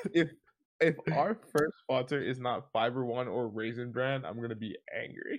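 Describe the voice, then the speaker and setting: Here is a man with an American accent and an unremarkable speaking voice. He has a medium pitch and ordinary pitch variation. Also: moderate pace. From New Jersey. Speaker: podcast co-host. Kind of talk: casual chat.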